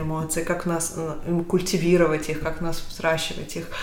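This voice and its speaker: Noticeable background noise sits behind the speech. A woman talks at a moderate pace with a fairly low pitch. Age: 30s. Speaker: podcast host. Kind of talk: casual chat. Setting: kitchen, in person.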